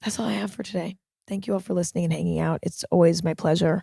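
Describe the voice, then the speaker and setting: A raspy woman's put-on character voice, fairly low in pitch and very fast, with a dry, close sound and no echo. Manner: calming, comforting.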